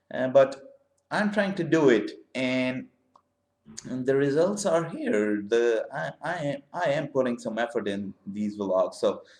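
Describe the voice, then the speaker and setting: The pitch swings very widely as the speech moves at a fairly slow pace. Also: man, fairly high pitch for a man. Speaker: vlogger. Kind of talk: vlog monologue. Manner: halting, many fillers.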